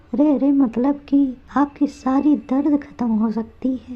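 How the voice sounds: A woman puts on a cartoonish character voice pitched high. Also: moderate pace.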